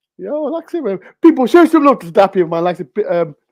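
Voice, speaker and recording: Very fast and animated, a man talks with very wide pitch swings. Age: 30s. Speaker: football vlogger. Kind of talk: casual chat.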